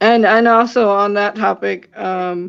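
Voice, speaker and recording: A woman's voice at a medium pitch. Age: 30s. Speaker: paranormal investigator. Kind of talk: podcast interview. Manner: halting, many fillers.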